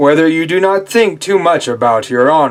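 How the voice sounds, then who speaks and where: A man puts on a character voice, fairly high in pitch, at a moderate pace. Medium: read story. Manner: solemn, measured.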